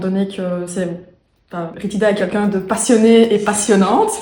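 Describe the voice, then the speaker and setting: A woman with a medium pitch speaks at a moderate pace with fairly even intonation, over noticeable background noise and audible room echo. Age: 20s. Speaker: program participant giving testimonial. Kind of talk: testimony. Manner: halting, many hesitations.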